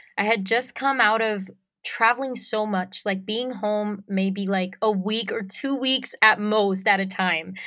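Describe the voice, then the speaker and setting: Speaking very slowly with a strong Puerto Rican accent, a woman uses a bright, sharp tone at medium pitch and fairly even intonation, on a very clean recording with a silent background. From Puerto Rico. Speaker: singer-songwriter. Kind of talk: interview.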